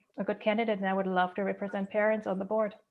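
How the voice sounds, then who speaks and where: In a German accent, a woman speaks at a medium pitch with monotone, flat intonation. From Germany. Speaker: school board candidate, HR director. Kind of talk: candidate speech at online forum.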